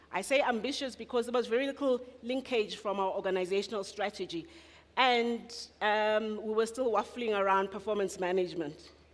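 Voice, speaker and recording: Talking at a fairly quick pace, a woman uses a fairly high pitch and lively intonation. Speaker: municipal talent management official. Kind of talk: conference presentation. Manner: fast.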